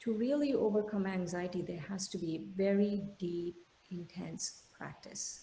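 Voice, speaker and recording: At a fairly slow pace, a woman speaks in a medium pitch with a dark, mellow tone and a somewhat breathy quality. Her pitch varies in an ordinary way, and the room echo is audible. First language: an Indian language. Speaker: meditation teacher. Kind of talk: lecture. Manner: halting, many fillers.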